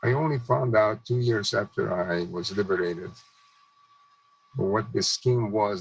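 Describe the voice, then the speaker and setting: A man's fairly low voice at a moderate pace, with ordinary pitch variation and noticeable background noise. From Czechoslovakia (Hungarian-annexed region). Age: 90s. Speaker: Holocaust survivor and speaker. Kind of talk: testimony. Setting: video call.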